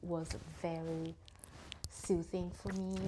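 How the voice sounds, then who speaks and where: Over noticeable background noise, the speaker talks at a very slow pace with lively intonation. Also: woman. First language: Italian. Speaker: knitting vlogger. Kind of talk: casual vlog talk. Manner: halting.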